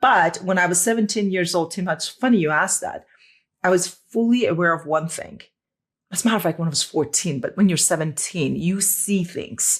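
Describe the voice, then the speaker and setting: A woman talks at a fairly quick pace in a medium, somewhat breathy voice with ordinary pitch variation. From Iran. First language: Persian. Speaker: former dentist, integrative health practitioner. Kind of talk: podcast interview.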